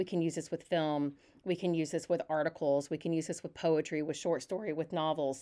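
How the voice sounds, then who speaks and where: With very deep, low pitch and a dark, mellow tone, a woman speaks at a fairly quick pace in a monotone, flat intonation. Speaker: English professor. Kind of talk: casual chat.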